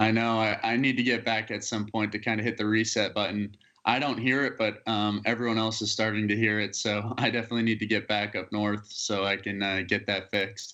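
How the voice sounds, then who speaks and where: With a slight Alabama accent, a man speaks at a fairly quick pace with hardly any pauses, his fairly low-pitched voice monotone and flat. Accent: slight Alabama accent picked up. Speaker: college baseball player. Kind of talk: interview. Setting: video call. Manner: halting, with fillers and repeated words.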